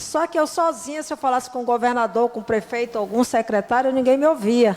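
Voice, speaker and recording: High-pitched speech from a woman, fairly quick and with ordinary pitch variation. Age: 60s. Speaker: restaurant owner and businesswoman. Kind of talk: panel discussion. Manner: hesitant, many fillers.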